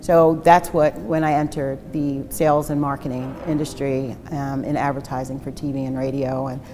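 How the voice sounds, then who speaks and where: With an American accent and a very deep, low pitch, a woman speaks at a moderate pace with hardly any pauses, amid audible room echo and noticeable background noise. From New Jersey and New York City. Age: 50s. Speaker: recovering addict sharing her story. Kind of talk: testimony. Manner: many fillers (um, uh).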